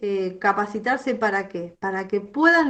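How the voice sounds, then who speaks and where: A woman speaks at a fairly high pitch. Her pitch swings very widely. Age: 60s. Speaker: psychologist. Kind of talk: lecture. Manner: halting.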